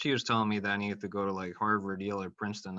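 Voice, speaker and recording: A man with a Spanish accent speaks in a fairly low pitch with a bright, sharp tone and monotone, flat intonation, in a dry, close sound with no echo. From Mexico. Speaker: college counselor. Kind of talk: casual chat.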